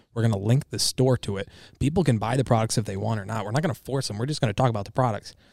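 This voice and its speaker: In an American accent, a man talks very fast at a medium pitch with ordinary pitch variation, in a dry, close sound with no echo on a very clean recording with a silent background. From Michigan. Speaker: social media creator, supplement store worker. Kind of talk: casual chat.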